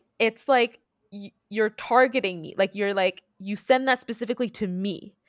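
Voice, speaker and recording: In a normal speaking voice, a woman with a fairly high pitch and ordinary pitch variation talks at a moderate pace, the sound dry and close with no echo. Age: 30s. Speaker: podcast co-host. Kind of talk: casual chat. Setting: remote recording across time zones.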